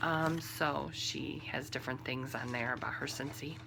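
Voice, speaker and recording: A woman with a Midwestern accent speaks at a fairly slow pace. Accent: Midwestern drawl. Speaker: knitting podcaster. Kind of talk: casual podcast monologue. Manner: conversational with many fillers.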